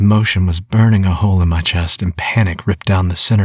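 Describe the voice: Someone is doing plain reading aloud here.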